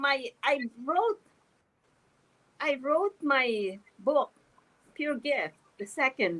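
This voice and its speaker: High-pitched and very slow, a woman speaks with very wide pitch swings and long, frequent pauses. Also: dry, close sound with no echo. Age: 70s. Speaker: author and spiritual speaker. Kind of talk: interview. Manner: halting, with frequent repetitions.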